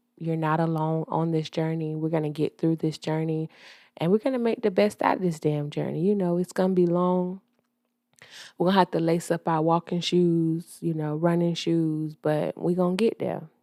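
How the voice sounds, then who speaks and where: A woman with a Southern US accent and a fairly low pitch speaks at a moderate pace with fairly even intonation, in a very clean recording with a silent background and a dry, close sound with no echo. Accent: Southern US (Georgia). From US South, Georgia. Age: 30s. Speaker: podcast host. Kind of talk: casual monologue podcast. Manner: casual, hesitant with fillers.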